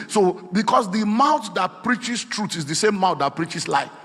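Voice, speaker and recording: A man with a high pitch talks at a fairly quick pace. Noticeable background noise runs underneath. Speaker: preacher. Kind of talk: sermon.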